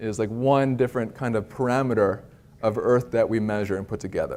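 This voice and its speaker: A man with an American accent speaks at a fairly quick pace, his medium pitch rising and falling in an ordinary way. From US Northeast, near Philadelphia. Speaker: climate scientist. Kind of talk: public lecture. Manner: casual, with frequent fillers and restarts.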